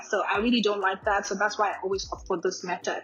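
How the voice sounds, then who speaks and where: Over noticeable background noise, a woman talks in a fairly high pitch with fairly even intonation. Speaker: beauty vlogger. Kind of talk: tutorial voiceover. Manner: casual, chatty.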